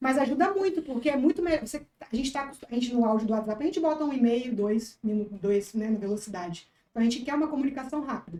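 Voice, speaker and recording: Talking at a very fast pace with hardly any pauses, a woman with a high pitch and a dark, mellow tone uses lively intonation. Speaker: veterinarian and social media creator. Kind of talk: podcast interview. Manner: animated.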